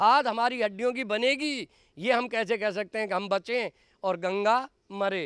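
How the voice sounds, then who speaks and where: A man's high-pitched voice, dry and close with no echo, on a very clean recording with a silent background. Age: 70s. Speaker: activist. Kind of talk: public speech. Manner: animated.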